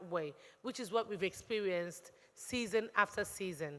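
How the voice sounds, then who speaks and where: A woman in a normal speaking voice talks at a fairly slow pace with ordinary pitch variation. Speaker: talent show judge. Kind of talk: judge's critique.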